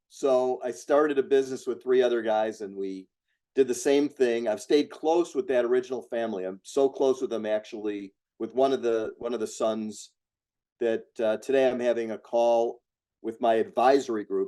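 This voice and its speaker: Here a man speaks at medium pitch and a moderate pace. His tone is dark and mellow. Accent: American. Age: 60s. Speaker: real estate investor. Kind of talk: interview.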